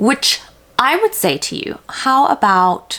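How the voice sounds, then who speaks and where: A woman with an American accent, with noticeable background noise. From South Africa. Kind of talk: casual talk to camera.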